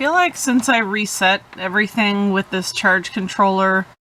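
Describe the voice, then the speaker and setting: A woman speaks in a medium pitch. Noticeable background noise runs underneath. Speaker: van-life vlogger. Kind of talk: casual vlog narration; live fishing commentary. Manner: excited.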